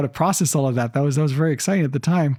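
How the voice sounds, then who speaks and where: This is a man with an American accent. His pitch sits fairly high. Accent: American, drifting toward Canadian. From Israel. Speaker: entrepreneur and investor. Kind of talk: interview conversation. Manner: halting, many fillers and repeats.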